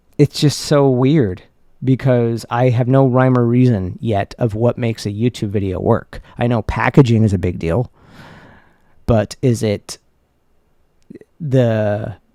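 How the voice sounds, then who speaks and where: A man's dark, mellow voice with an American accent, at a fairly slow pace with long, frequent pauses. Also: medium pitch for a man, ordinary pitch variation. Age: 30s. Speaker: YouTuber and filmmaker. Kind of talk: personal vlog monologue. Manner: halting, with many self-corrections.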